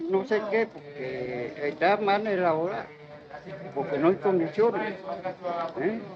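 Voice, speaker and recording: A high-pitched man with lively intonation at a fairly slow pace, over noticeable background noise. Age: 60s. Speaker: passer-by interviewed on street. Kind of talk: street interview.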